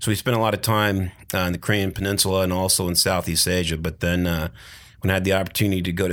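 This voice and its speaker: Over a silent background in a very clean recording, a man with an American accent speaks very fast in a very deep, low pitch with fairly even intonation. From US Pacific Northwest, Tacoma. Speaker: retired army colonel, veteran. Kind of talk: casual interview. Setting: studio sound booth.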